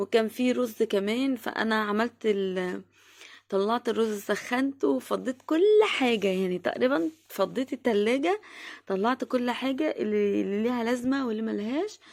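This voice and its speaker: On a very clean recording with a silent background, a woman with an Egyptian accent talks at a moderate pace in a fairly high pitch with ordinary pitch variation. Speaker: vlogger, homemaker. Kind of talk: home routine vlog narration. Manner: halting, many fillers.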